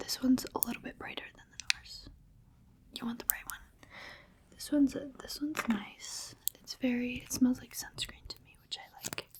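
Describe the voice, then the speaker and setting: A woman whispers in a gentle tone, with long, frequent pauses over noticeable background noise. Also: moderate pace. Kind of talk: ASMR roleplay, personal attention. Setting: close-mic ASMR recording. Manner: soft-spoken, gentle, calming.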